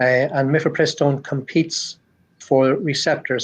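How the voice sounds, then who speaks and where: In an Irish accent, a man speaks somewhat breathily at a medium pitch against a quiet background. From Ireland. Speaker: cardiologist. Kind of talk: interview. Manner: halting, repeats words.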